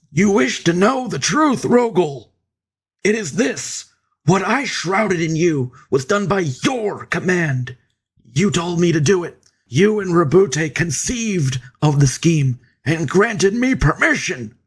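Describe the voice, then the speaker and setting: A man's raspy, high-pitched put-on character voice, fairly slow, with very wide pitch swings. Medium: read story. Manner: measured, grave.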